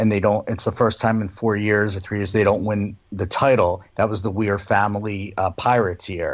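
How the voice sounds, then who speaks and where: A man with an American accent speaks at a moderate pace in a fairly low pitch, with a flat, monotone delivery and hardly any pauses. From Philadelphia, US. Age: 50s. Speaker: music fan guest. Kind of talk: casual chat.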